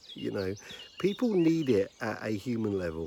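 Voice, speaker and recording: A man with a British accent speaks at a medium pitch and a fairly slow pace. Noticeable background noise runs behind him. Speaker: leadership consultant. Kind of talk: casual talk to camera. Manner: quiet; hesitant with frequent fillers.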